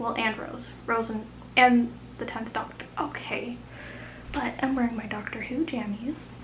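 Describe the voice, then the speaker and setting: Quiet and mumbling, a woman speaks fairly slowly at a fairly high pitch with fairly even intonation, with audible room echo and noticeable background noise. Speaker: booktuber. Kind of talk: casual vlog. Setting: at home late at night.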